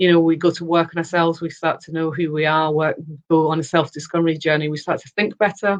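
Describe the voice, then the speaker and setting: Talking at a very fast pace, a woman with a Yorkshire accent uses a fairly low pitch in a flat monotone. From Yorkshire, northern England. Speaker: personal development consultant, former radio producer. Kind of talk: interview. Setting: live video chat.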